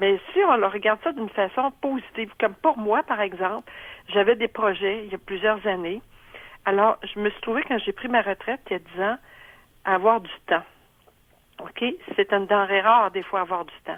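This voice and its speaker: With a Quebec accent, a woman of medium pitch speaks at a moderate pace with ordinary pitch variation, big swings in loudness, and long, frequent pauses. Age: 70s. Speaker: retiree. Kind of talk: testimony. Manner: halting, many fillers.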